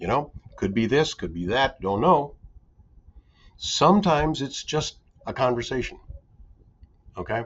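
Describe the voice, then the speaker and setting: A man with a fairly high pitch, very wide pitch swings, vocal fry and long, frequent pauses. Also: moderate pace. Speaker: recruiter in professional services. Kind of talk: podcast interview.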